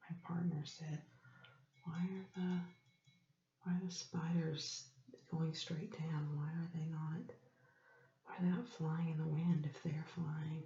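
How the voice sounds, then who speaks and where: The speaker is whispering in a soft-spoken way. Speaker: ASMR creator. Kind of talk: ASMR show-and-tell. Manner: whispered, soft-spoken.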